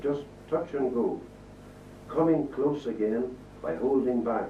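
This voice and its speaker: Someone with a Northern Irish accent speaks at a moderate pace over noticeable background noise. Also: man. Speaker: poet. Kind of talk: poetry reading. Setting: live reading before an audience.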